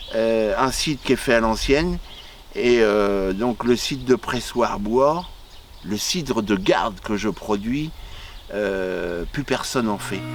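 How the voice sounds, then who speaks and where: This man talks at a very slow pace. His pitch is medium, with ordinary variation. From Normandy, France (Le Havre area, Pays de Caux). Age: 60s. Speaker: cider maker. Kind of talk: interview. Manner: halting, with frequent hesitations.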